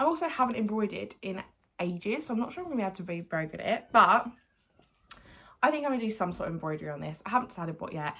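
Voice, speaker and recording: Very fast, with an Essex accent, a woman speaks in a bright, sharp, medium-pitched voice whose pitch swings very widely and whose loudness rises and falls a lot. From Essex, England. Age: 20s. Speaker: lifestyle YouTuber. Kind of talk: casual vlog haul.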